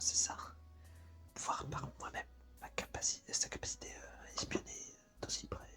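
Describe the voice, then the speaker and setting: A man whispering, with noticeable background noise. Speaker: ASMR creator who reads visual novels aloud. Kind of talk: ASMR visual novel reading. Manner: whispered.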